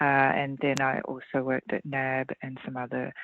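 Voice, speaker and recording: A woman's very deep, low voice with an Australian accent at a moderate pace. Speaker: leadership consultant and author. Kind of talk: interview.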